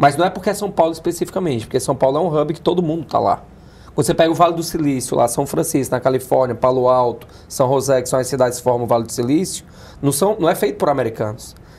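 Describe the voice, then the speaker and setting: With ordinary pitch variation, a man speaks at a fairly high pitch and a very fast pace. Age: 40s. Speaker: business accelerator founder. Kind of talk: interview. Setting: studio.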